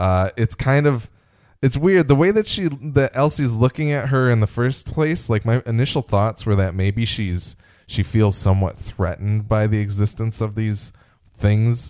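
In a very clean recording with a silent background, a man with a plain, everyday voice talks at a moderate pace, medium in pitch, with lively intonation. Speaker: podcast host. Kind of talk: casual podcast discussion, episode recap.

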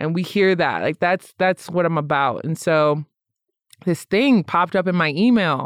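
Dry and close with no echo, a woman with an American accent uses a normal speaking voice, her fairly low pitch showing ordinary pitch variation at a moderate pace. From Michigan, US Midwest. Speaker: social worker and podcaster. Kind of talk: casual interview chat.

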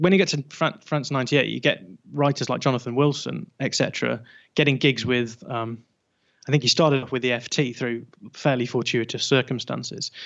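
The speech comes at a very fast pace in a northern English accent. Intonation stays fairly even. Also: man. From northern England. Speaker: football podcaster. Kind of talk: casual chat.

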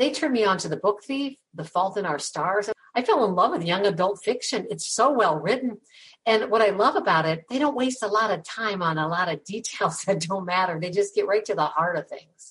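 A woman with an ordinary speaking voice, medium in pitch, lively intonation and a fairly quick pace. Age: 60s. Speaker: podcast host. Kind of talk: interview.

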